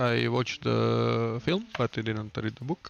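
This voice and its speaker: A man with a Balkan accent speaks fairly slowly at a medium pitch with lively intonation, over noticeable background noise. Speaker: streamer. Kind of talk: reading aloud. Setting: live stream at home. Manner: hesitant, many fillers.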